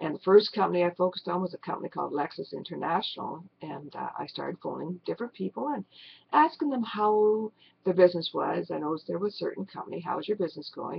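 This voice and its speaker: Her loudness shows big swings. The woman talks at a very fast pace. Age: 60s. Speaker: network marketer. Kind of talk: personal testimony to webcam.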